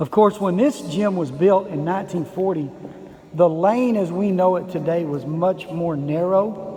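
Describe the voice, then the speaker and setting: Relaxed and unhurried, a man speaks with a high pitch and ordinary pitch variation at a moderate pace. Room echo is audible, and background noise is noticeable. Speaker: basketball history vlogger. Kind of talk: casual video tour narration. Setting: inside an empty school gym. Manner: relaxed, conversational with fillers.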